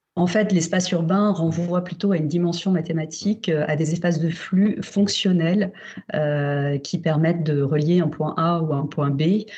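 Noticeable background noise sits under speech that moves at a fairly slow pace with fairly even intonation. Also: woman, fairly low pitch for a woman. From Paris, France. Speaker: urban planning researcher. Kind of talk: remote interview. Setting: remote call. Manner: halting, many fillers.

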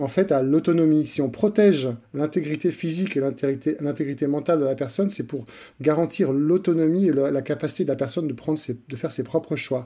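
On a very clean recording with a silent background, a man with a dark, mellow tone and fairly high pitch speaks fairly quickly with ordinary pitch variation. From France and Switzerland. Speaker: author, digital rights advocate. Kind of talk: interview. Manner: halting, many repetitions.

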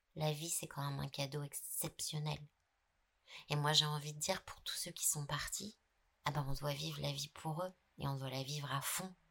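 A woman's very deep, low pitch with a bright, sharp tone and vocal fry, fairly even intonation, and long, frequent pauses. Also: moderate pace. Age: 50s. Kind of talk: casual chat. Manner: halting, many repetitions.

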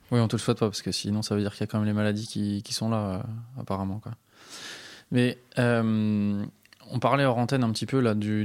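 On a very clean recording with a silent background, a man with a normal speaking voice and fairly low pitch talks at a fairly quick pace with fairly even intonation. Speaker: podcast host. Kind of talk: interview.

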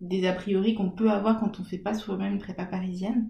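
The woman's tone is dark and mellow, and she sounds somewhat breathy. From French provinces. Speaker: podcast host. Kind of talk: casual interview. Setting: at home.

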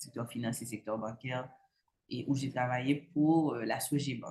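There is a somewhat breathy quality to this woman's voice. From Haiti, Cap-Haïtien. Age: young. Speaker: entrepreneur. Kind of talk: interview. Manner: halting, many fillers.

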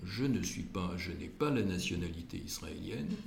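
At a very slow pace and with ordinary pitch variation, the voice comes through audible room echo and noticeable background noise. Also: man. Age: 70s. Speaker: cardiologist and community leader. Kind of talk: interview. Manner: halting.

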